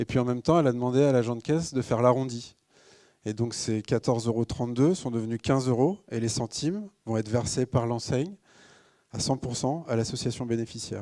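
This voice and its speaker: A man talks at a fairly quick pace. His pitch is medium, with ordinary variation. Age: 30s. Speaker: social entrepreneur, company co-founder. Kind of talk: conference talk. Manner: frequent hesitations (euh).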